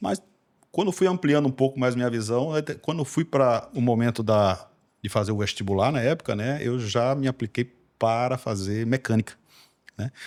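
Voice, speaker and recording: A man's voice sits at a medium pitch and moves with ordinary pitch variation. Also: moderate pace. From Recife, Brazil. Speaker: engineer. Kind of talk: podcast interview. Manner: hesitant, many fillers and repetitions.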